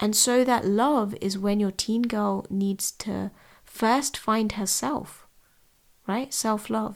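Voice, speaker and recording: In a London accent, a woman speaks at a very slow pace with fairly even intonation and a fairly high pitch. The recording is very clean, the background silent. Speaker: podcast host and tutor. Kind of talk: solo podcast talk.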